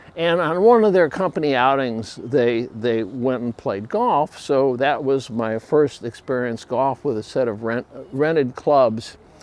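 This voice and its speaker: With an American accent, a man speaks fairly slowly at a medium pitch, with ordinary pitch variation and hardly any pauses. Noticeable background noise is present. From Chicago, USA. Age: 70s. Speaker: retired photographer and printing manager. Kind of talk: casual talk to camera.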